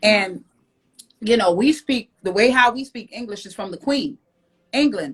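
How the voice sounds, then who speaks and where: A woman with a Jamaican accent speaks at a moderate pace in a fairly high, somewhat breathy voice. Her intonation is lively, her loudness swings widely, and she leaves long, frequent pauses. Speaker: podcast co-host. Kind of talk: casual chat. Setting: Instagram live video stream.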